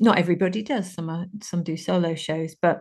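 A woman's somewhat breathy voice at a medium pitch, fairly quick in pace with fairly even intonation. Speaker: podcast host. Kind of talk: casual chat.

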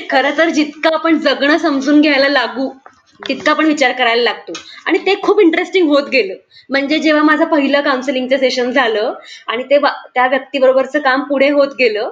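A woman's high-pitched voice holds very even loudness and ordinary pitch variation. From Pune, India. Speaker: psychological counsellor. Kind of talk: casual interview. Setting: recording from home.

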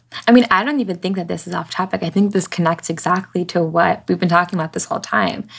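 A woman with vocal fry speaks at a very fast pace in a fairly low pitch. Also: ordinary pitch variation. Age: 20s. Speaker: podcast host. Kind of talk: interview.

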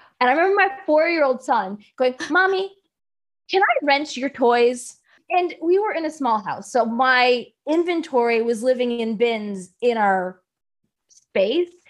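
A woman speaks in a high pitch. Her pitch swings very widely. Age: 40s. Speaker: business coach. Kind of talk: interview.

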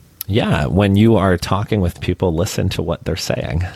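A relaxed tone with ordinary pitch variation comes through in an American accent. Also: man. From Chicago, US Midwest. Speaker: writer, podcaster and marketer. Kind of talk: casual interview chat. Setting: remote recording platform.

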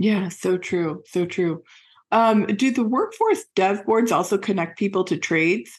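Against a quiet background, a woman speaks in a normal speaking voice. Her pitch is medium and her loudness very even. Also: ordinary pitch variation, fairly slow pace. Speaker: podcast host. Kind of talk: interview.

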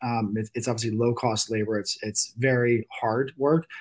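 A man's normal speaking voice at medium pitch, a fairly quick pace, and a very clean recording with a silent background. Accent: American. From Virginia Beach, Virginia. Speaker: venture capitalist and oyster farm co-owner. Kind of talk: casual chat.

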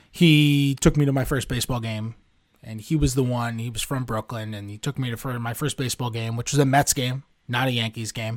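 In a very clean recording with a silent background, a man with an American accent uses an ordinary speaking voice at a medium pitch, speaking at a fairly quick pace with fairly even intonation and big swings in loudness. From New York City. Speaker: sports beat writer. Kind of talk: interview.

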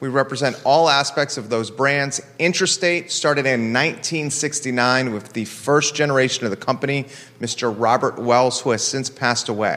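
A man's normal speaking voice, medium in pitch, at a moderate pace with hardly any pauses and ordinary pitch variation. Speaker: talk show host. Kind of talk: interview conversation. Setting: studio, live broadcast.

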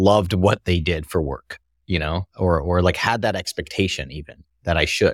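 A man with an American accent and very deep, low pitch, in a dry, close sound with no echo on a very clean recording with a silent background. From Singapore. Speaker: tech entrepreneur. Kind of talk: interview.

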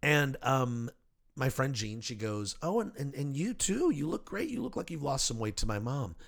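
A fairly high-pitched man with an American accent, very wide pitch swings, and a moderate pace. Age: 50s. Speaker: podcast host. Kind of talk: casual chat. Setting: studio.

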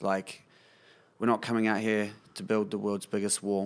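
A man with a New Zealand accent in a very clean recording with a silent background. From New Zealand, Kapiti Coast. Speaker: musician. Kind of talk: casual chat.

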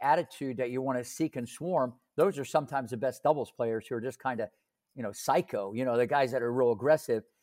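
This man speaks at a medium pitch. His pitch variation is ordinary. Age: 60s. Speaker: tennis coach. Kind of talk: casual interview, storytelling. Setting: video call from home office. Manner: animated, fast talker, rhyming.

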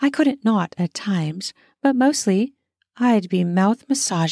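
Reading aloud in a natural voice, with lively intonation over a quiet background

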